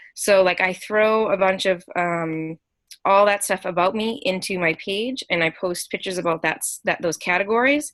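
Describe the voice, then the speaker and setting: Recorded very cleanly with a silent background, a woman speaks at medium pitch with ordinary pitch variation. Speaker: fitness coach giving social media tips. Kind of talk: team call presentation. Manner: fast; hesitant, many ums.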